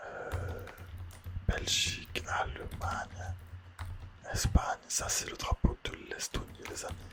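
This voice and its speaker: A man whispers at a very slow pace with music in the background. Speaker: ASMR creator. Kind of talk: ASMR whispered quiz talk. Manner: whispered, soft-spoken.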